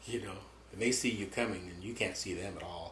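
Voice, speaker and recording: There is noticeable background noise behind this man, whose voice sits fairly low. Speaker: war veteran. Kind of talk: interview answer.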